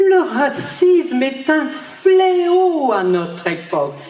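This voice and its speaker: With very wide pitch swings, a woman speaks at a very slow pace amid noticeable background noise and audible room echo. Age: 80s+. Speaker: Holocaust survivor. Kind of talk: testimony. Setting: stage with audience. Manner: animated.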